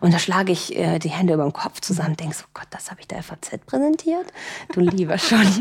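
A woman with a fairly low pitch speaks at a very fast pace. Her loudness swings widely over noticeable background noise. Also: ordinary pitch variation. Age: 20s. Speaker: influencer manager. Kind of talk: interview. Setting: home dining room.

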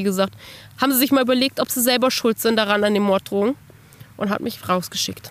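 Speaking at a very fast pace, a woman rushes through her lines. Her intonation stays fairly even. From Germany, northern Hesse (Bad Arolsen). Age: 20s. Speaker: children's book author. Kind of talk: personal testimony interview. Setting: outdoors on a bench.

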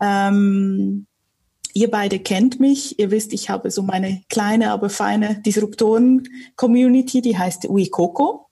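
A woman talks at a very slow pace. Her tone is dark and mellow, and her voice is somewhat breathy. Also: medium pitch for a woman, ordinary pitch variation. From Switzerland, Zurich area. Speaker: communications consultant and local community host. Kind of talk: casual interview conversation.

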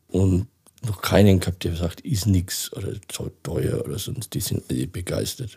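A man's very deep, low voice with vocal fry and a dark, mellow tone, ordinary pitch variation, and a fairly slow pace. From Franconia, Germany (near Nuremberg). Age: 60s. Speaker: interview guest with dwarfism. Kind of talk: casual interview.

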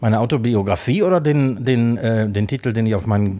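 A man's fairly low voice, dark and mellow, with lively intonation at a fairly quick pace. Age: 50s. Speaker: podcast co-host, chef/restaurateur. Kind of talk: casual chat. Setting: studio, sitting across from co-host.

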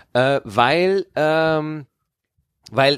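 His intonation rises and falls in a lively way. The man's pitch runs fairly high. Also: dry, close sound with no echo, very clean recording, silent background. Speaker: podcast co-host and touring comedian. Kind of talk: casual chat.

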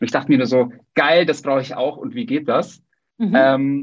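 His voice sits at a fairly high pitch for a man. He talks at a moderate pace with ordinary pitch variation. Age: 30s. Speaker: podcast host. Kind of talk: casual interview.

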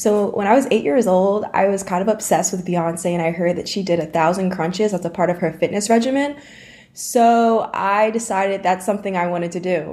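A woman talks at a fairly quick pace with an American accent. She has a plain, everyday voice of medium pitch with ordinary pitch variation. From US Northeast (Dutchess County, New York). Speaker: recent college graduate, fitness enthusiast. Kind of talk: interview.

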